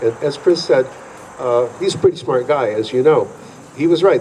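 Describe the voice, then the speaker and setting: Noticeable background noise surrounds a man whose intonation stays fairly even. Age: 70s. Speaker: honored fife and drum veteran, drum teacher. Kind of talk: acceptance speech. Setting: museum hall with audience. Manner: halting.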